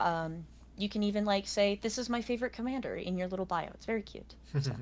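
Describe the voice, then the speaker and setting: Speaking at a very fast pace, a woman uses a medium pitch and ordinary pitch variation, with big swings in loudness. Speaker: content creator and card game player. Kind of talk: casual chat.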